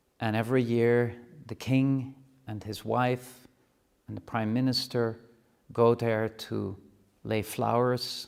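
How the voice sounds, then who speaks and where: A man with a Dutch accent talks in a monotone, flat intonation at a medium pitch. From Netherlands. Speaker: university rector. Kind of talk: address to students. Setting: classroom live stream. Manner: formal.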